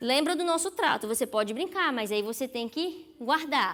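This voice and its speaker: Lively intonation in a woman's raised, projected voice with a bright, sharp tone. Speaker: psychologist giving a sermon. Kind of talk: sermon. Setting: church.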